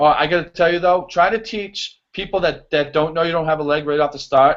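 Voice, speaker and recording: Here is a man with a strong Boston accent and a high pitch. He talks at a fairly quick pace. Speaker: show choir choreographer. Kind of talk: casual interview chat. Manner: animated, many fillers.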